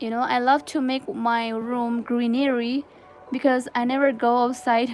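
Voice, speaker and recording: Music plays in the background as a woman talks at a fairly slow pace. Her pitch is high, and she speaks with a Nepali accent. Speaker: crochet livestreamer. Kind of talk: casual livestream chat.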